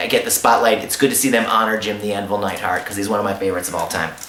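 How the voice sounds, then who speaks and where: A man's voice with noticeable background noise. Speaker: ring announcer and wrestling commentator. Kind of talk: casual review talk to camera.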